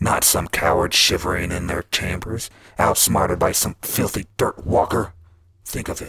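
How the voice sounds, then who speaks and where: A man's raspy, put-on character voice at a fairly slow pace. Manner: smooth, seductive, menacing.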